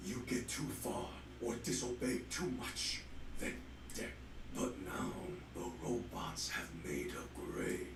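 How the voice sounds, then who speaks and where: Using a put-on character voice, a man talks at a fairly slow pace with a slight echo and loud background noise. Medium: video game. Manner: commanding, terse.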